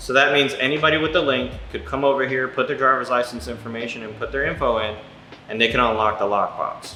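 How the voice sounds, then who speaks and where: Over noticeable background noise and audible room echo, a man talks at a very fast pace in a medium pitch with ordinary pitch variation. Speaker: real estate investor vlogger. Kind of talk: casual vlog storytelling. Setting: inside a rental house. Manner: casual, halting with repetitions.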